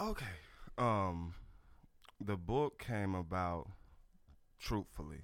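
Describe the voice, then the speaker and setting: A man with a Southern US accent and a very deep, low voice, at a very slow pace with long, frequent pauses and ordinary pitch variation. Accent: Southern US (Georgia). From US South, Georgia. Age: 40s. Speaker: author and life coach. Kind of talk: radio interview. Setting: radio studio.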